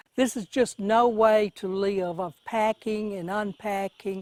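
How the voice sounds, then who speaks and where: A woman with a Mississippi accent speaks at a medium pitch with ordinary pitch variation, in a very clean, dry, close recording with a silent background and no echo. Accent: US Southern (Mississippi). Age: 70s. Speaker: flood-affected resident. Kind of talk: news interview.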